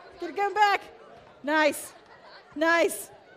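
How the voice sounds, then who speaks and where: With crowd noise in the background, a woman speaks in a bright, sharp tone. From United States. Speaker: preacher. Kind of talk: sermon. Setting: church with live congregation. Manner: animated, chatty.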